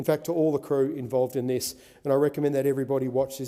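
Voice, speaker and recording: Speaking in an Australian accent, a man uses a medium pitch, a dark, mellow tone and fairly even intonation. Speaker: senator. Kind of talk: parliamentary speech.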